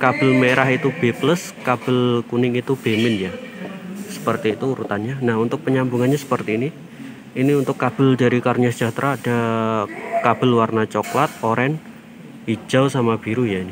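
Against noticeable background noise, a man talks at a fairly quick pace with fairly even intonation, the sound dry with no echo. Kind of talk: tutorial. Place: workshop. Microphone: phone near.

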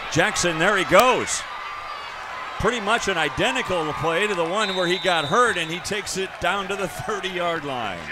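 A man's high-pitched voice comes through over noticeable background noise. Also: ordinary pitch variation, moderate pace. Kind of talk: live football play-by-play commentary.

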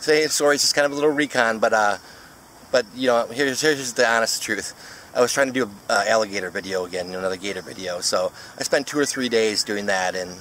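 Talking at a very fast pace, a man shows ordinary pitch variation in a dry recording with no echo and light background noise. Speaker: photographer vlogger. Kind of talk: casual vlog chat. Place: waterside. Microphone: phone near.

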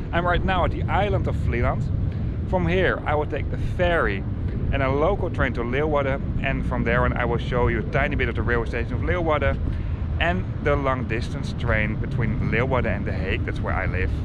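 A man at a fairly quick pace, dry sound with no echo, under loud background noise. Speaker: travel vlogger. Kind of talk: casual vlog chat. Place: waterside. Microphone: phone near.

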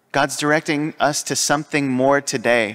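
A man talks fairly slowly, his intonation fairly even, over a quiet background. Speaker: priest. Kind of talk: sermon. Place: church. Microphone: podium.

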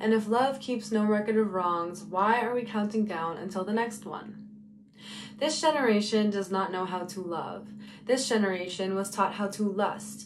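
At a moderate pace and with ordinary pitch variation, a woman talks over light background noise. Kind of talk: spoken word poetry. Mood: earnest, preaching tone. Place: home room. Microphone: phone near.

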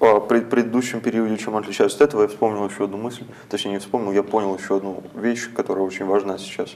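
Speaking at a very fast pace, a man uses a fairly low pitch and fairly even intonation. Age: young. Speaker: poet. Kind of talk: interview. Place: studio. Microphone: lapel.

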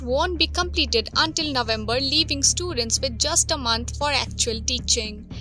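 A woman's voice sounds dry with no echo, with clear music in the background. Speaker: news reporter. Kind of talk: news reading. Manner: formal. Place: open country. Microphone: handheld.

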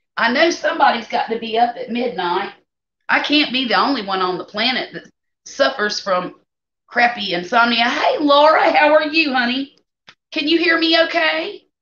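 A woman speaks at a moderate pace in a high pitch with a bright, sharp tone, and audible room echo surrounds her voice. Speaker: home cook streamer. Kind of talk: casual live stream chat. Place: kitchen. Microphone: phone near.

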